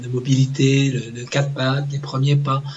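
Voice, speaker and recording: With noticeable background noise behind him, a man speaks at a fairly slow pace in a medium pitch. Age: 40s. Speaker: public-sector legal manager, father. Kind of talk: interview testimony. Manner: halting, many hesitations.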